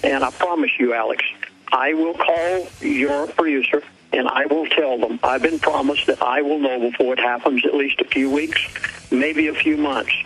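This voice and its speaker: Noticeable background noise sits under a man speaking at a fairly high pitch and moderate pace, his loudness very even. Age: 70s. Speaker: pastor. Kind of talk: radio interview.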